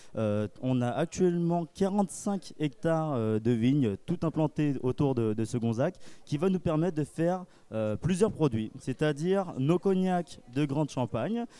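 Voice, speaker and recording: A man speaks very slowly with a fairly high pitch. His tone is dark and mellow, and his intonation is lively. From France, Charente (Cognac). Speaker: cognac producer's ambassador. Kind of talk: interview at a trade fair. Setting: live at a wine and drinks fair.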